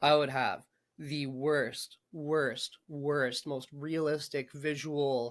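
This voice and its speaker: In a very clean recording with a silent background, a man speaks in a flat monotone at a fairly high pitch. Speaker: brain injury survivor. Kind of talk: interview. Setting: podcast. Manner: halting.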